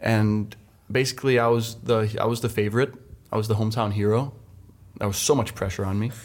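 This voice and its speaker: In a Danish accent, a man speaks at a very fast pace and medium pitch, with monotone, flat intonation and long, frequent pauses. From Denmark, west coast. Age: 20s. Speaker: professional stand-up paddler. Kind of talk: podcast interview.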